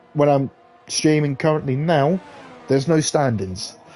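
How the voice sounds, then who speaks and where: A man with a fairly high pitch speaks at a moderate pace while music plays in the background. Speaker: sim racing streamer and commentator. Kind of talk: live commentary. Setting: live stream. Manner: animated.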